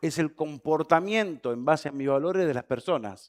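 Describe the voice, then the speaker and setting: A man speaks in an animated tone at a fairly high pitch. The recording is very clean with a silent background, and the sound is dry and close with no echo. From Argentina. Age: 40s. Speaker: conference speaker. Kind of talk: keynote talk. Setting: stage with audience. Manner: fast.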